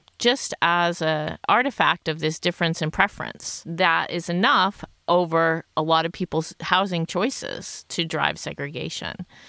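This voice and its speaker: An unremarkable speaking voice from a woman with an American accent, a fairly low pitch and a moderate pace, in a very clean recording with a silent background. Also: dry, close sound with no echo. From United States. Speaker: sociologist. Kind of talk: podcast panel discussion.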